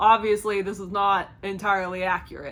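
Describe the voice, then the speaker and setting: With a Kentucky accent, a woman speaks at a medium pitch and a moderate pace. Her tone is bright and sharp. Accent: Kentucky twang. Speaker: movie reviewer. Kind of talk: casual review to camera. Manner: enthusiastic, upbeat.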